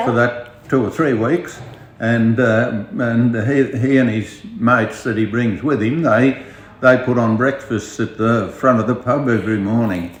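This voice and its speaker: With a rural Australian accent, a man speaks at a fairly slow pace and fairly even intonation amid noticeable background noise. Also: medium pitch for a man. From Outback Queensland, Australia. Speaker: outback pub owner. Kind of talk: interview answer. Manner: hesitant, casual.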